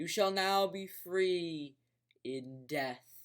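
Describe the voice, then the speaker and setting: A put-on character voice sits at a middle pitch and carries audible hissing. The recording is very clean, with a silent background. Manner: hissing, slow, menacing.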